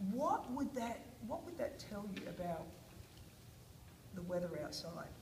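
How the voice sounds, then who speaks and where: Noticeable background noise and audible room echo surround a woman speaking at a fairly slow pace in a fairly high pitch with very wide pitch swings. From Australia. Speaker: teacher. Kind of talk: guided reading lesson with children.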